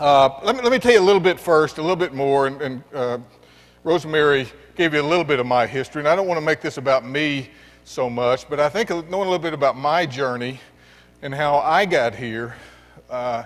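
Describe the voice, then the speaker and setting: A man talks at a fairly quick pace with a Texan accent. His pitch is fairly high. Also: ordinary pitch variation. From West Texas. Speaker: education nonprofit executive. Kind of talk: keynote speech. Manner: halting.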